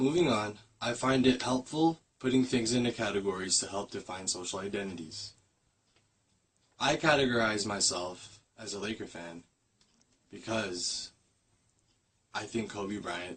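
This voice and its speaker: A man with an American accent speaks at a moderate pace in a fairly low, somewhat breathy voice. His loudness swings widely, and he takes long, frequent pauses. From US, Filipino American family. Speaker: student. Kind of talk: class presentation. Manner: read from a script, slightly halting.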